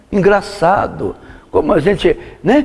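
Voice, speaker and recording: Very wide pitch swings from a man, with noticeable background noise. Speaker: pastor teaching Bible study. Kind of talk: sermon. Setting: church. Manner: animated.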